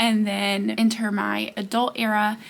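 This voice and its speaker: Noticeable background noise behind a voice with an American accent. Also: woman. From US South, Georgia. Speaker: book content creator. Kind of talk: casual chat. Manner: loud when excited; animated.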